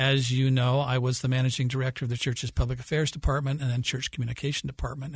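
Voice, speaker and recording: Over a quiet background, a man speaks at medium pitch in a monotone, flat intonation, sounding somewhat breathy. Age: 60s. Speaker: historian. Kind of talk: interview.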